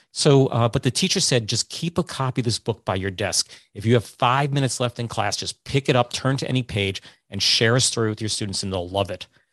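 Against a quiet background, a man talks in a normal speaking voice at medium pitch. He speaks at a fairly quick pace with ordinary pitch variation. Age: 50s. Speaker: podcast host. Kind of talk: casual chat. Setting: video call.

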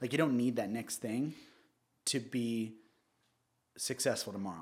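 Here a man speaks at a moderate pace. His pitch is medium, with ordinary pitch variation. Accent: Southern California. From Orange County, California. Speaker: real estate agent. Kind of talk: casual interview.

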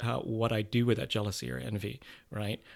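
On a very clean recording with a silent background, a man of medium pitch speaks at a fairly quick pace. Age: 50s. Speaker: actor and theater producer. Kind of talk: interview. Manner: hesitant, many fillers.

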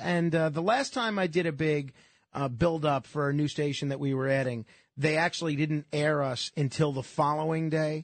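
The surroundings are quiet. Here is a normal speaking voice, at a moderate rate, its pitch rising and falling in the usual way. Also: man. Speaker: radio host. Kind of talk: casual chat. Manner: jokey.

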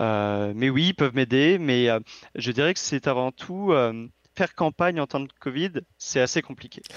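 The speech moves at a fairly slow pace with long, frequent pauses and lively intonation. The sound is dry and close with no echo over a quiet background. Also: man, fairly high pitch for a man. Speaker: political candidate. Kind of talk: interview.

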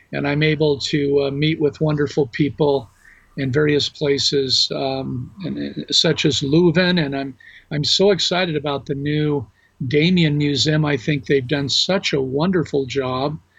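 A somewhat breathy man with an American accent, fairly high in pitch, fairly slow and fairly even in intonation. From US West Coast, Los Angeles. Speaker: religion professor. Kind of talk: interview.

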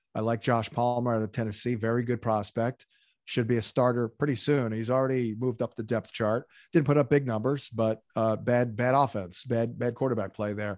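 Against a quiet background, a man of medium pitch talks fairly quickly in a plain, everyday voice with an American accent, the sound dry and close with no echo. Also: fairly even intonation. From southern New Jersey. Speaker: fantasy football analyst. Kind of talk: interview.

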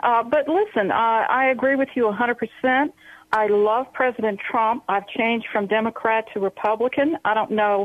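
A woman uses a normal speaking voice at a fairly high pitch, a moderate pace, very even loudness and ordinary pitch variation. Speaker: caller. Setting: phone call.

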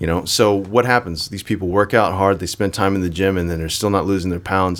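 Fairly quick speech from a man with a very deep, low pitch. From Chinese heritage. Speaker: acupuncturist and martial arts trainer. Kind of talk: casual interview chat. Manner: animated.

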